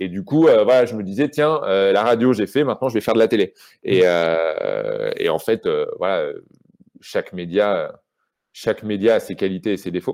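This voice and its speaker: Pausing often and at length, a man otherwise keeps a moderate pace. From Normandy, France (Rouen). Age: 30s. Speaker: journalist and author. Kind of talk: casual interview. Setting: video call from his house in Brittany. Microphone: poor connection, pixelated video.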